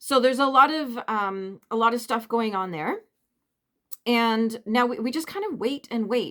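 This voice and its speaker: A woman's unremarkable speaking voice, fairly high in pitch with ordinary pitch variation, in a Canadian accent at a moderate pace. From Canada. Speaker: vlogger. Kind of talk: casual chat.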